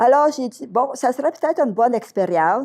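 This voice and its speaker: Her intonation is lively. This woman's tone is dark and mellow. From Quebec, Outaouais region. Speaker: retired schoolteacher. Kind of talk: interview storytelling.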